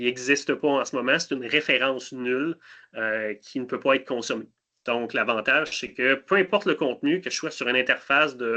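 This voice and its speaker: A man with a normal speaking voice talks at a fairly quick pace, his medium pitch showing ordinary pitch variation. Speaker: cybersecurity solutions specialist. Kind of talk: webinar product demo.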